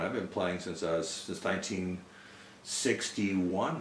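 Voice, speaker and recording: The voice belongs to a male speaker. Room echo is audible around it. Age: 60s. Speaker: spiritual follower, musician. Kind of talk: storytelling interview. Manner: halting, with many fillers.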